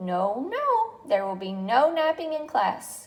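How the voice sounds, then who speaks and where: In a put-on character voice, a woman speaks sing-song at a fairly slow pace, high in pitch with very wide pitch swings. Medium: read story. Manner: chirpy, sing-song, enthusiastic.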